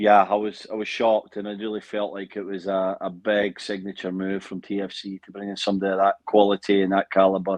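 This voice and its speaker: Very fast, monotone, flat speech with big swings in loudness. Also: man, fairly low pitch for a man, hardly any pauses. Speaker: former pro footballer, pundit. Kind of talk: interview.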